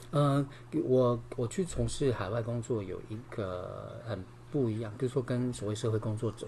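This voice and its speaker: A man's dark, mellow tone with vocal fry and ordinary pitch variation. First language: Taiwanese Hokkien (speaking Chinese). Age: 50s. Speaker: yoga teacher and singer. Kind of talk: casual interview.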